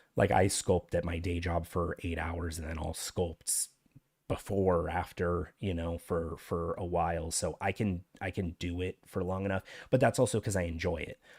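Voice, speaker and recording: In a dry, close sound with no echo, a man with a very deep, low pitch speaks at a moderate pace, somewhat breathy and with monotone, flat intonation. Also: very clean recording, silent background. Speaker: 3D character artist streamer. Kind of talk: live stream portfolio review Q&A. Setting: live stream. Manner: casual with many fillers.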